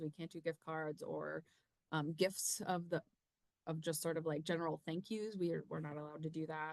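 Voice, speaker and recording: A woman's fairly low-pitched voice, dry with no echo, over a quiet background. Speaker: university research administrator. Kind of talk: informational webinar presentation. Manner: hesitant, many filler ums. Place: home room. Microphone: webcam.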